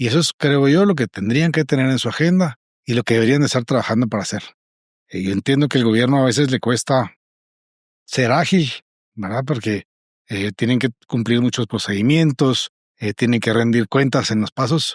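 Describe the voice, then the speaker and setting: On a very clean recording with a silent background and a dry, close sound with no echo, a man with a Guatemalan accent speaks at a moderate pace. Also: medium pitch for a man, ordinary pitch variation. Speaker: business association president. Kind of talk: interview.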